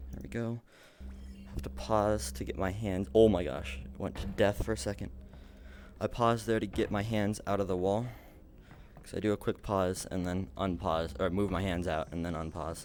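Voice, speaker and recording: A man's very deep, low voice with vocal fry and lively intonation, at a moderate pace with long, frequent pauses. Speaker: speedrunner streamer. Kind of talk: live gameplay commentary.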